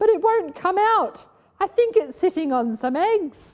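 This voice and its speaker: A woman puts on a squeaky character voice at an extremely high pitch. Her pitch swings very wide at a moderate pace. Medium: read story. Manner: deferential, hesitant.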